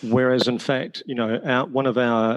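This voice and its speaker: Speaking at a moderate pace, a man with a New Zealand accent uses a medium pitch and monotone, flat intonation, recorded dry and close with no echo. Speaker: teacher and education author. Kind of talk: podcast interview.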